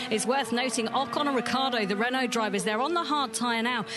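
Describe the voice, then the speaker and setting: A woman talks very fast in a high voice. Noticeable background noise comes through, though the sound is dry with no echo. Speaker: pit-lane reporter and analyst; pit-lane reporter, analyst. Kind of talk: live race commentary; sports commentary.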